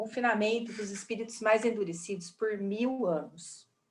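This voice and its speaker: Audible room echo is present. The pace is moderate. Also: woman. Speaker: spiritist study class teacher. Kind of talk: lecture.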